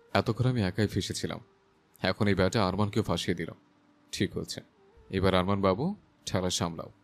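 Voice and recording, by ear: The voice is natural. It reads a text aloud.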